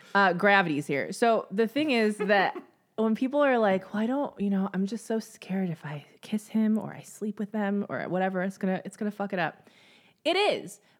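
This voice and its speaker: Using an ordinary speaking voice, a woman talks at a moderate pace and medium pitch, with ordinary pitch variation. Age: 30s. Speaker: podcast co-host. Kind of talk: casual chat.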